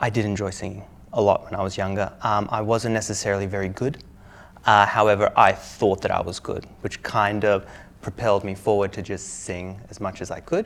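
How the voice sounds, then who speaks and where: A man in an Australian accent, fairly low-pitched, monotone and flat, at a moderate pace. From Australia, Melbourne. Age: 20s. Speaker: IELTS test candidate. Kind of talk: mock speaking exam interview. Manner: casual, hesitant with fillers.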